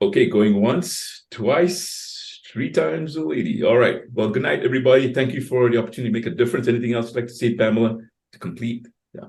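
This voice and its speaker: Amid audible room echo, a somewhat breathy man of medium pitch speaks at a very fast pace with lively intonation. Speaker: co-host, coach, former radio host. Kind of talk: webinar Q&A and closing. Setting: video call.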